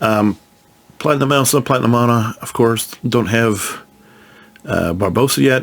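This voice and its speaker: A man with a Midwestern US accent speaks at a medium pitch. His pitch varies in an ordinary way, broken by long, frequent pauses. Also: moderate pace. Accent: US Midwest. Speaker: gaming youtuber. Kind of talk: casual game walkthrough. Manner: casual, halting with restarts.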